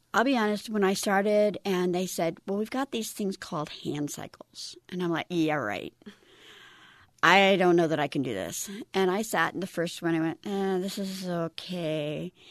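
A woman speaks at a moderate pace and medium pitch with ordinary pitch variation. The sound is dry and close with no echo, and the background is quiet. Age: 50s. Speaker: veteran. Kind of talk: interview. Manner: animated.

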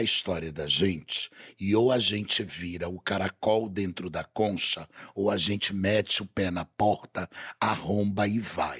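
A man with a plain, everyday voice speaks fairly slowly and at a fairly low pitch, with ordinary pitch variation and a dry, close sound with no echo. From Belém, Pará, Brazil. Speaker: carnival designer and TV personality. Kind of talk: casual chat. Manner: flamboyant, theatrical.

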